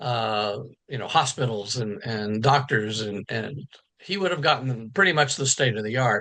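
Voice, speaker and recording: With an American accent, a man talks in a bright, sharp tone and ordinary pitch variation. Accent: Texas accent, mild unless drinking. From Texas. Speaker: novelist. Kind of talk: interview. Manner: hesitant, many fillers and repeats.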